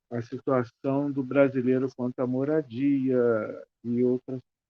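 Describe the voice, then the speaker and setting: The voice belongs to a man with a medium pitch. His intonation is fairly even. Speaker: film club organizer, panelist. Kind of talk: panel discussion.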